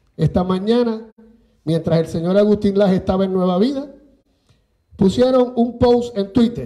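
A man's high-pitched voice with a dark, mellow tone, ordinary pitch variation and a moderate pace broken by long, frequent pauses. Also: quiet background. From Puerto Rico, Manatí; Puerto Rico. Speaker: radio station manager. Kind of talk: impassioned speech. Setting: legislative chamber with audience. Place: meeting room.

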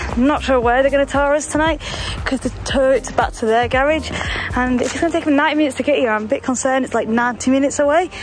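Over noticeable background noise, a woman with a high voice talks at a very fast pace with fairly even intonation. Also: dry sound with no echo. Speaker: travel vlogger. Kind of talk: casual vlog chat. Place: street. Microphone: phone near.

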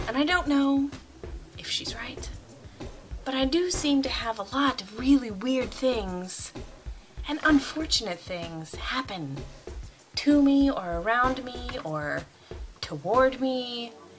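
Faint music plays behind a woman's high voice as she talks at a very slow pace with long, frequent pauses. Her loudness swings widely. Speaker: vlogger. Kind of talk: casual vlog chat. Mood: wry, laughing. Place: home room. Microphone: webcam.

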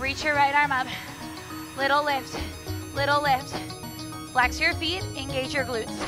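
A woman talks at a moderate pace in a dry sound with no echo. Clear music plays in the background. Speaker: fitness instructor. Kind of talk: workout class cueing. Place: gym.

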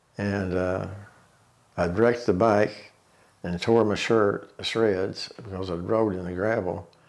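Over a quiet background, a man with an Ozark accent speaks at a fairly slow pace in a fairly low pitch, his intonation monotone and flat. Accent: Ozarks Arkansas. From Tontitown, Arkansas. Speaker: oral history interviewee. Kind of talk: oral history interview, reminiscing life story. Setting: interview, sitting at home. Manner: slow, reflective; halting, with fillers and repeats. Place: home room.

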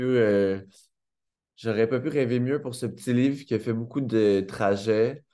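Against a quiet background, a man with a Quebec accent speaks very slowly in a dark, mellow tone with fairly even intonation. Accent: Québécois French. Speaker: author. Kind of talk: acceptance speech. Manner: hesitant, many fillers. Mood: warm, grateful, smiling. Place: home room. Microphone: webcam.

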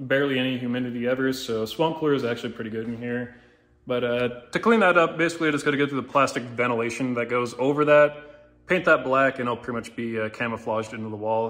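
A man speaks at a very fast pace. His intonation is fairly even. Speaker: garage owner vlogger. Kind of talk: casual vlog chat. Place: garage. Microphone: phone near.

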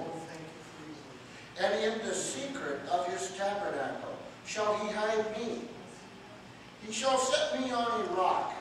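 A man speaks at a very slow pace in a high voice with lively intonation, amid noticeable background noise and strong room echo. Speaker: pastor. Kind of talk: scripture reading. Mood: devout, emotional interjections. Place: church. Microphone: camera far.

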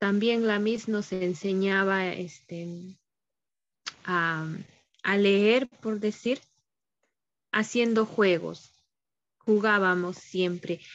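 A woman at a very slow pace, with fairly even intonation and long, frequent pauses. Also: medium pitch for a woman. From Ancash, Peru. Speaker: student teacher. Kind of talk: class discussion. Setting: video call. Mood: nostalgic, warm. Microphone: video call.

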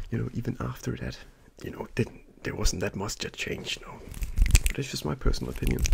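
Loud background noise surrounds a soft-spoken man with a very deep, low pitch. He talks at a very fast pace with very wide pitch swings. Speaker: ASMR creator. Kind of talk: ASMR soft-spoken talk between mouth sounds. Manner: casual, rambling chat. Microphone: studio mic.

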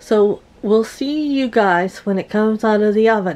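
A woman's speech at a moderate pace, pitch moving by a normal amount. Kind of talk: tutorial. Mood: cheerful, laughing. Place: kitchen. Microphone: camera far.

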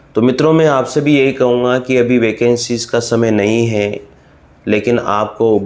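In fairly even intonation and a medium pitch, a man talks at a very slow pace. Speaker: online exam-prep teacher. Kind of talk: motivational talk to students.

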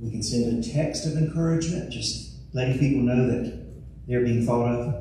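A man talks at a moderate pace with fairly even intonation. Strong room echo and light background noise surround his voice. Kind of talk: church welcome and scripture reading. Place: church.

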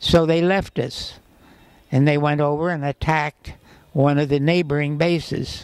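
A man talks in a monotone, flat intonation, the sound dry with no echo and the background quiet. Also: fairly high pitch for a man, moderate pace. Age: 80s+. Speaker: war veteran; former co-pilot. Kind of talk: interview answer. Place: hall. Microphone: handheld.

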